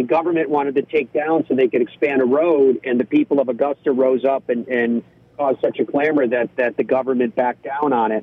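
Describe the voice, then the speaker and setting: A man talks in an ordinary speaking voice. His pitch is fairly high and his pace moderate. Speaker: golf broadcaster. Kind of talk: casual interview. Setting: phone call from parked car.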